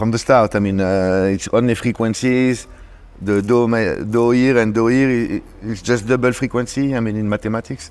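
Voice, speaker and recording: With a French accent, a man speaks at a moderate pace and medium pitch with fairly even intonation. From France (Paris). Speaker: DJ and producer. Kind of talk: casual interview chat.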